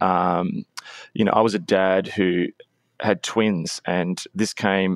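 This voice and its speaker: Against a quiet background, a man with an Australian accent speaks in a monotone, flat intonation, with a dry, close sound and no echo. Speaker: author and pastor. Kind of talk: podcast interview.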